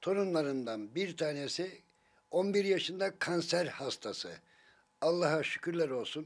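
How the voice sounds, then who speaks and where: Over a quiet background, a man with a high pitch talks at a fairly slow pace with ordinary pitch variation. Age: old. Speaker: grandparent of a sick child, street vendor; street vendor. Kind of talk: casual family chat and appeal to officials. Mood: warm, gently smiling. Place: home room.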